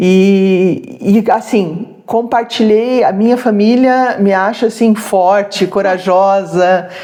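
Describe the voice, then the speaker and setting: Very slowly and with hardly any pauses, a woman speaks in a dark, mellow tone at medium pitch, her intonation fairly even and her loudness very even. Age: 60s. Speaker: retired social worker, jiu-jitsu practitioner. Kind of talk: interview.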